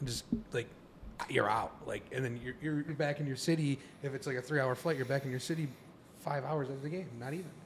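A somewhat breathy man at a fairly quick pace, with fairly even intonation and long, frequent pauses. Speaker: podcast co-host. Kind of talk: casual chat.

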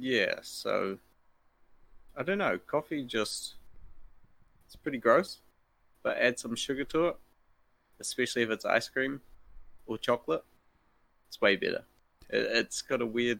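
With a New Zealand accent, a man speaks at a moderate pace, leaving long, frequent pauses. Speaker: fighting game tournament organizer. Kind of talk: casual chat.

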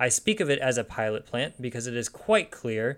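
At a fairly quick pace, a man talks in a medium pitch. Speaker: podcast host. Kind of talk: scripted-sounding podcast narration with casual asides. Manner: enthusiastic, conversational.

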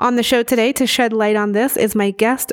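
A plain, everyday voice from a woman, fairly high in pitch with fairly even intonation, in a dry, close sound with no echo. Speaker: podcast host. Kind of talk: interview.

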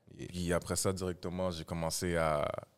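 On a very clean recording with a silent background, a man with a very deep, low pitch speaks at a moderate pace with monotone, flat intonation. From Montreal, Quebec. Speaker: rapper. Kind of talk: casual chat.

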